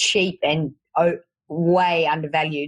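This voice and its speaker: With a strong Australian accent, a woman speaks at a fairly low pitch with ordinary pitch variation. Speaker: fitness coach. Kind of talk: podcast interview.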